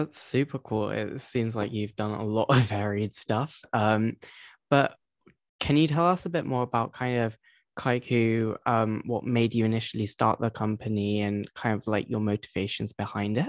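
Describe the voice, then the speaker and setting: A man has a plain, everyday voice at medium pitch with ordinary pitch variation. His moderate pace comes through a dry, close sound with no echo. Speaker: podcast host. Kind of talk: interview conversation.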